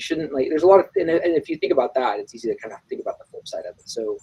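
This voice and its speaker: Here a man talks. He goes very fast. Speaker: neurosurgery resident giving advice to students. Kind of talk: casual advice chat on live stream. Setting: live stream. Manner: loud, talkative.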